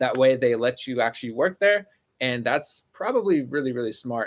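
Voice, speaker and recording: The recording is very clean with a silent background. A man of medium pitch speaks at a fairly quick pace. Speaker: online reseller and YouTuber. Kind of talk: live stream Q&A. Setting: home studio and storage room. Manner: fast.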